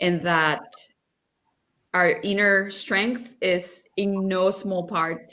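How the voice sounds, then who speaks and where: A woman speaks with a Spanish accent at a fairly low pitch. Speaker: nonprofit leader. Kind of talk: interview.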